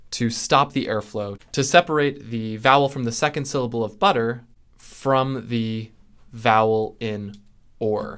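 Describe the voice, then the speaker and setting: In a General American accent, a man with medium pitch and ordinary pitch variation speaks at a fairly slow pace in an ordinary speaking voice, on a very clean recording with a silent background. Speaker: linguistics educator. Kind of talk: tutorial.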